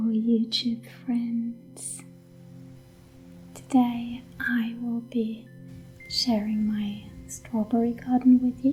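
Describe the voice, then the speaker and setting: A soft-spoken woman talks at a very slow pace with long, frequent pauses, her calm, fairly high voice flat and monotone over music in the background. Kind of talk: ASMR homestead vlog, casual talk to camera. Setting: outdoors in a garden, with ambient nature sounds and quiet background music. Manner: soft-spoken, calm, slow.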